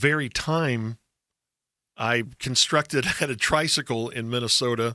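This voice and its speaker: A man's medium-pitched voice with an American accent, bright and sharp in tone, in a dry, close sound with no echo. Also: very clean recording, silent background. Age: 60s. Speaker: radio host. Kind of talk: casual chat. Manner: animated storytelling.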